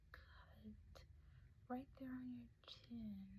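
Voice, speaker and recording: A soft-spoken woman. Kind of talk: ASMR roleplay, caring medical helper. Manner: soft-spoken, gentle.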